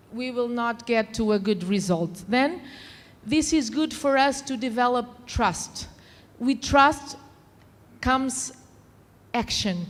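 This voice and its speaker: A woman with a high voice speaks very slowly, leaving long, frequent pauses. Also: ordinary pitch variation. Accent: non-native. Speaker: conference panelist. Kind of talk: panel talk.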